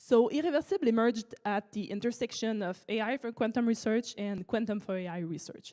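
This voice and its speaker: A woman with a French accent talks at a fairly quick pace in a dark, mellow tone. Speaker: startup researcher. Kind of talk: conference talk. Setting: auditorium with audience.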